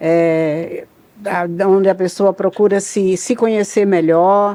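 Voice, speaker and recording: A woman with a dark, mellow tone speaks at a very slow pace in a medium pitch, her intonation fairly even. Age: 80s+. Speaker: psychologist. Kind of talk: podcast interview. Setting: studio.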